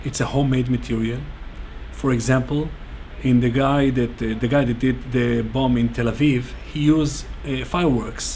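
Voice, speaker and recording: A man speaks with an Israeli accent at a moderate pace. The recording has audible room echo and noticeable background noise. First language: Hebrew. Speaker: bomb security instructor. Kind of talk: interview. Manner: halting.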